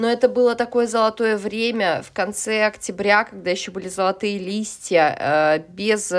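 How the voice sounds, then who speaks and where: Her medium-pitched voice moves at a very slow pace as the woman speaks. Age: 30s. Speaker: podcast host. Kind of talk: casual chat. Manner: animated.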